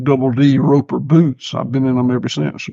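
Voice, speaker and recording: A man talks at a medium pitch with a Southern US accent. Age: 60s. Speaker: farmer. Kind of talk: casual chat. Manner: halting, repeats words.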